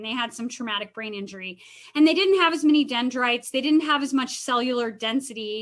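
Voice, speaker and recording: A woman speaks in a high pitch with ordinary pitch variation. Her tone is bright and sharp. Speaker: counselor leading a wellness talk. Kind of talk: webinar Q&A talk. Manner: casual, filler-heavy.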